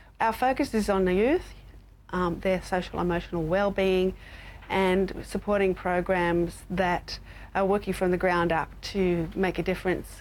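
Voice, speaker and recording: Speaking with an Australian accent, a woman keeps a medium pitch, fairly even intonation, very even loudness and a fairly slow pace. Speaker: university lecturer in public health. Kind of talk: interview. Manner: halting, with fillers.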